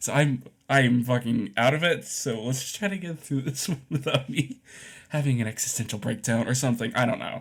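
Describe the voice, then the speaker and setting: The voice belongs to a man and sits at a medium pitch. It sounds somewhat breathy and shows ordinary pitch variation. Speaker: artist YouTuber. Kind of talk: casual drawing commentary. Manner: halting, many fillers.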